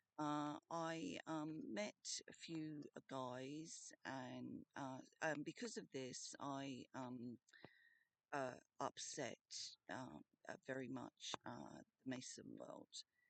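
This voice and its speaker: Recorded with a dry, close sound and no echo, a woman with an Australian accent speaks at a very slow pace with long, frequent pauses. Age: 50s. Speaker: vlogger. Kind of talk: personal video message. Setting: in a tent. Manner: halting, many fillers.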